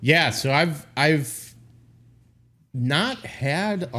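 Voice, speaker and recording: Loud and bright, a man's sharp tone rides on lively intonation. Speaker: podcast and stream co-host. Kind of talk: casual chat. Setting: live stream.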